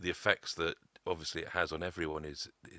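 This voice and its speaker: A man talks with a very deep, low pitch and a bright, sharp tone. His delivery is fairly slow, with monotone, flat intonation. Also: dry, close sound with no echo. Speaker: abuse survivor. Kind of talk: testimony. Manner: halting.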